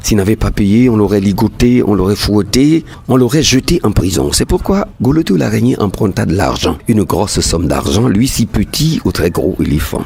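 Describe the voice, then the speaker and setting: Very wide pitch swings and very even loudness mark this moderately paced voice, heard over noticeable background noise. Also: man, fairly low pitch for a man. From Togo. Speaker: storyteller. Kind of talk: folk tale narration.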